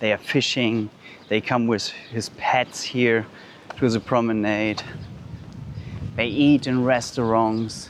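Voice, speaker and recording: A man with a German accent speaks at a fairly slow pace with long, frequent pauses. His loudness stays very even, and noticeable background noise is present. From Germany. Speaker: vlogger. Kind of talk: walking vlog. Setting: outdoors. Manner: halting.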